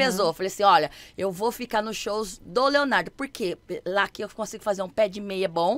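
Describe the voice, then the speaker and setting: Bright and sharp in tone, a woman talks in an animated way at a fairly quick pace. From Campinas, interior of São Paulo; São Paulo state, Brazil. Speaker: dancer and TV stage assistant; podcast guest. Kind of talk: casual chat. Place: studio. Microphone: studio mic.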